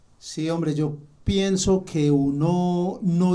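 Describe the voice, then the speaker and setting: A man speaks in a high pitch with a dark, mellow tone and fairly even intonation. Audible room echo surrounds his voice. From Colombia, Manizales. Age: 60s. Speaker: technical support agent. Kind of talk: podcast interview.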